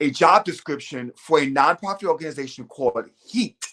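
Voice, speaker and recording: A man with an American accent talks at a moderate pace in an unremarkable speaking voice, fairly high in pitch. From New York City, Lower East Side. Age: 40s. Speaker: HIV social services worker. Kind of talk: interview. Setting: live stream.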